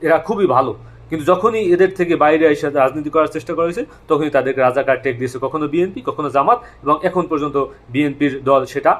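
A man talks in a normal speaking voice. His pitch is fairly high, with ordinary variation. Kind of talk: monologue commentary.

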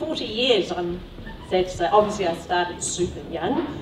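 The pace is fairly slow. Noticeable background noise runs underneath. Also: woman. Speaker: speaker. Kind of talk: lecture. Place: hall.

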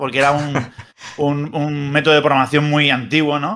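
The tone is bright and sharp against a quiet background. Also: man. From Spain. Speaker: wrestling news site editor and former TV commentator; wrestling news site editor, former TV commentator. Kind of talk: casual chat. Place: home room. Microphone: webcam.

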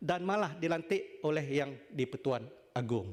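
A man speaking at a very slow pace. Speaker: senator. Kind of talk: parliamentary debate speech. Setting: legislative chamber. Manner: formal.

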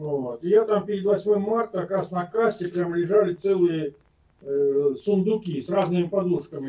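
A high-pitched male voice at a moderate pace, with lively intonation. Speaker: video chat stranger; guest. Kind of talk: casual chat. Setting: video call. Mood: warm, friendly. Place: home room. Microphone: video call.

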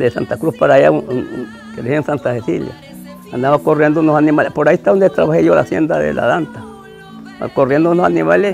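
A man rattles along at a very fast pace while faint music sounds in the background. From Santa Cruz, Guanacaste, Costa Rica. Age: 80s+. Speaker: cowboy (sabanero). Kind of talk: interview answer. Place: garden. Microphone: lapel.

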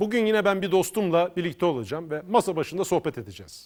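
Talking at a very fast pace, a man uses a high pitch with ordinary variation. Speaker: local TV talk show host. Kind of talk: casual interview.

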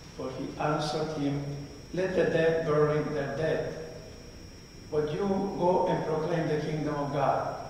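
The voice is monotone and flat, moving at a fairly slow pace with long, frequent pauses. Strong room echo and light background noise surround it. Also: man, fairly high pitch for a man. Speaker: priest. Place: church.

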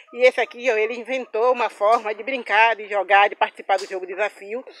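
The speech moves at a fairly quick pace. The sound is dry, with no echo. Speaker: vlogger showing a family farm. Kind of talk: casual vlog chat. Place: farm. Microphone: phone near.

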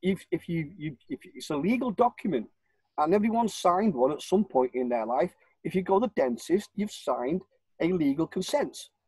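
A man with a northern English accent at a high pitch, very wide pitch swings, and a moderate pace, in a dry sound with no echo over a quiet background. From northern England, Warrington. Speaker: self-styled legal campaigner. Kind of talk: interview. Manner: rambling, repetitive. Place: home room. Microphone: video call.

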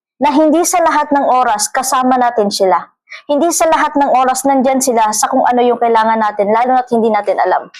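Speaking at a very fast pace with very even loudness, a woman uses a high pitch with ordinary variation. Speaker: vlogger. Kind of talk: casual monologue vlog. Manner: halting, many fillers and repeats.

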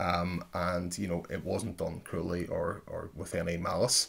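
The speaker is a man with a Northern Irish accent. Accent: Derry Northern Irish. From Derry, Northern Ireland. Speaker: podcast host. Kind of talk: casual chat; scripted narration. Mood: reflective, slightly apologetic. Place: home room. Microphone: studio mic.

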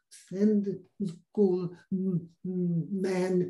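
A man speaks at a high pitch in a quiet background. His tone is dark and mellow. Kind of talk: channelled discourse, slow and halting. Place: home room. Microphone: video call.

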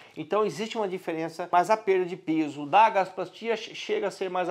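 Over a quiet background, a man speaks fairly quickly at a high pitch with ordinary pitch variation. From Brazil. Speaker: doctor. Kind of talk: medical explainer video. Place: office. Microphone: lapel.

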